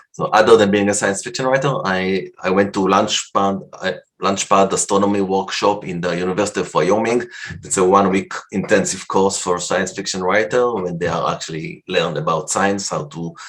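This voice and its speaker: A man with a non-native accent speaks at a moderate pace in a fairly low pitch. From Canada. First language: not English. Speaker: science fiction writer. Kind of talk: conference talk. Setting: virtual convention presentation. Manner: halting.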